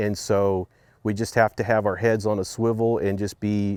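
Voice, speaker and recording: On a very clean recording with a silent background, a man with an Oklahoma accent speaks at a moderate pace in a fairly low pitch with monotone, flat intonation. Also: dry, close sound with no echo. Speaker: farmer. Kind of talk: interview.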